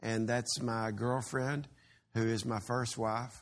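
Speaking at a fairly slow pace with a Texan accent, the voice stays monotone and flat over a quiet background. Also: man. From Texas. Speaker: pastor. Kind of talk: sermon.

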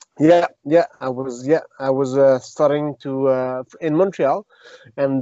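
In a Quebec accent, a man talks at a fairly high pitch with fairly even intonation. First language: French. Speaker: retired mixed martial arts fighter and jiu-jitsu teacher. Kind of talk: interview. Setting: remote call. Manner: halting.

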